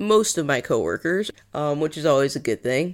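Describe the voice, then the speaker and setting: A woman with an American accent and a very deep, low pitch, on a very clean recording with a silent background. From New England, US. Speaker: podcast host and field archaeologist. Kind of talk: solo podcast monologue. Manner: casual, conversational with fillers.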